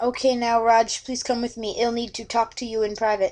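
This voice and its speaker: Against a quiet background, a woman puts on a character voice, speaking fairly quickly at a fairly high pitch with monotone, flat intonation. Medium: read story.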